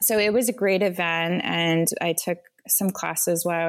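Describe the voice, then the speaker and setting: This woman has an unremarkable speaking voice with a fairly low pitch and an American accent. Her intonation stays fairly even. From US Northeast, Vermont. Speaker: beverage company founder. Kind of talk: interview.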